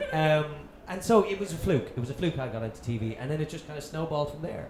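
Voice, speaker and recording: Very fast and with lively intonation, a man with a fairly high pitch speaks amid noticeable background noise and audible room echo. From Dublin, Ireland. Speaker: TV presenter. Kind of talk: casual chat. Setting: stage with audience.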